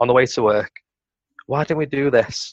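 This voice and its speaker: Heard in a dry, close sound with no echo, a man speaks with a Potteries accent. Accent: Potteries (North Staffordshire) English. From Stoke-on-Trent, England. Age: 20s. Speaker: entrepreneur. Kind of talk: casual chat.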